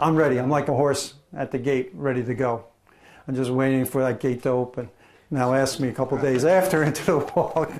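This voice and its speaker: A man with a normal speaking voice, medium in pitch, with an American accent, fairly even intonation and a fairly quick pace. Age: 60s. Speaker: retired naval officer on a charity walk. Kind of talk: interview.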